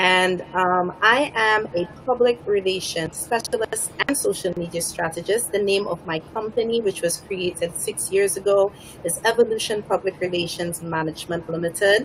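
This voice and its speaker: A woman speaks at a moderate pace with a medium pitch and ordinary pitch variation, hardly pausing at all. Noticeable background noise sits behind her voice. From Saint Lucia. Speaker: public relations specialist. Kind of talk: self-introduction.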